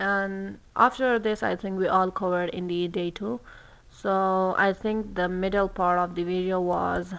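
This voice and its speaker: A non-native accent at a fairly slow pace, on a very clean recording with a silent background. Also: woman, medium pitch for a woman, fairly even intonation. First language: not English. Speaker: student explaining a textbook. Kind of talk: study-along textbook reading and explanation. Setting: livestream. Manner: slow, halting.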